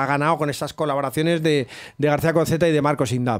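A man's fairly high voice at a very fast pace against a quiet background. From Spain. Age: 50s. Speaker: rap-rock musician and writer; guest. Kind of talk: interview; interview answer. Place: studio. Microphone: studio mic.

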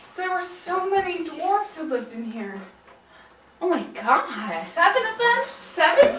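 The clip has audible room echo and light background noise. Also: woman, extremely high pitch for a woman, fairly slow pace. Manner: tipsy, theatrical spooky storytelling. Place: home room. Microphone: camera far.

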